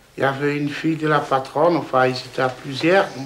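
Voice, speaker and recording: A fairly high-pitched man at a moderate pace with ordinary pitch variation, amid audible room echo and noticeable background noise. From Poland. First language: Polish (speaking French). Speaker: villager, father of large family. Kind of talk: interview testimony. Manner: halting.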